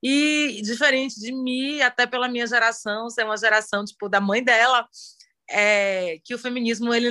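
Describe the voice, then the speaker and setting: A woman speaks at a moderate pace with a bright, sharp tone. Her pitch is fairly high, with ordinary variation. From Bahia, Brazil (Salvador). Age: 40s. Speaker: feminist activist, philosophy student. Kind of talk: casual chat.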